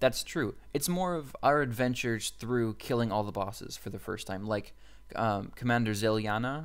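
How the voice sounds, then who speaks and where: Ordinary pitch variation colors a man's medium-pitched speech. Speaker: gaming video creator. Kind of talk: casual gaming commentary. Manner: fast; halting, many fillers and restarts.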